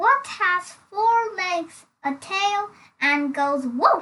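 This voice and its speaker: A woman uses a squeaky, put-on character voice at an extremely high pitch. She speaks at a very slow pace. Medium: read story. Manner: mocking, trumpeting.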